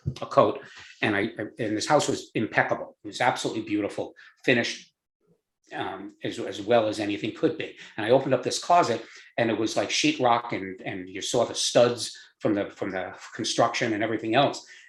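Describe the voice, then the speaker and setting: Somewhat breathy and fairly quick, this man's voice sits at a medium pitch with ordinary pitch variation. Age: 70s. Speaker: business owner. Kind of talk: interview. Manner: halting.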